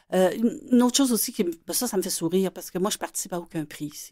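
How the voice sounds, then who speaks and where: A woman's dark, mellow tone at medium pitch, lively intonation, and a very clean recording with a silent background. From Quebec City. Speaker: children's illustrator and author. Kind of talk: radio interview.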